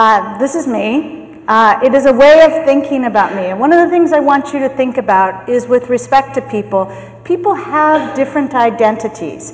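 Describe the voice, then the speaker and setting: A high-pitched woman at a fairly slow pace with lively intonation and hardly any pauses, amid audible room echo and noticeable background noise. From US, San Francisco. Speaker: management consultant and keynote speaker. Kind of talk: keynote talk. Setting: conference stage with microphone.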